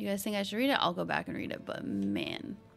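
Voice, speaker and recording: A woman talks at a fairly quick pace while faint music plays in the background. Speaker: game streamer. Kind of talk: casual gameplay commentary. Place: home room. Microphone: studio mic.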